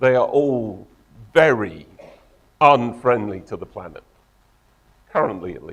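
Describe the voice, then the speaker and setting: Speaking fairly slowly with an English accent, a man at medium pitch uses lively intonation, big swings in loudness, and long, frequent pauses. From England. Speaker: tech company co-founder and engineer. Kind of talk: conference talk.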